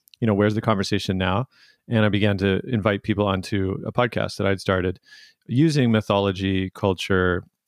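In a plain, everyday voice with a Canadian accent, a man talks at a fairly quick pace and fairly low pitch, his intonation fairly even. The sound is dry and close with no echo. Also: quiet background. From Canada, Vancouver suburbs. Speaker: documentary filmmaker and podcast host. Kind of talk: interview conversation.

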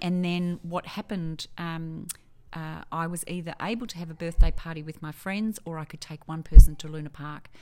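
A woman speaks at a moderate pace with an Australian accent and a very deep, low pitch with ordinary variation. The recording is very clean with a silent background. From Melbourne, Australia. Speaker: quality manager. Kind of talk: casual interview.

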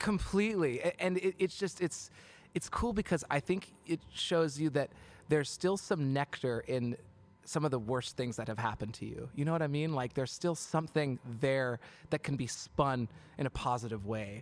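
A man with an American accent talks at a moderate pace, his fairly high voice moving with lively intonation. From Seattle. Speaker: musician. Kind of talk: casual chat. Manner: animated.

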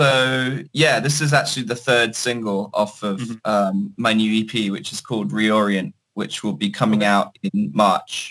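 Speaking in a British accent, a man with a bright, sharp tone and medium pitch moves at a fairly slow pace with hardly any pauses and ordinary pitch variation. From Hong Kong (British family). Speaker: singer-songwriter and producer. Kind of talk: interview. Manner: hesitant, many fillers.

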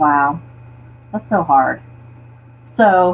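Her voice carries vocal fry. The pitch rises and falls across a very wide range. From Florida panhandle. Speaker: overlanding enthusiast. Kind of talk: casual chat.

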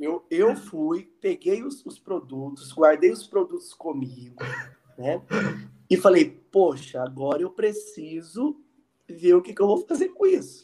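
A man speaks at a fairly slow pace, with big swings in loudness. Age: 30s. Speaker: psychologist and student association president. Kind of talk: casual interview. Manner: halting.

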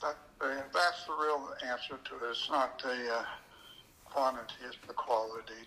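Talking at a moderate pace with an American accent, a man keeps a medium pitch and fairly even intonation. He takes long, frequent pauses, with noticeable background noise behind him. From US Pacific Northwest, Oregon. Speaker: magician and magic shop owner. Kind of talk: casual interview chat. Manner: halting, many fillers.

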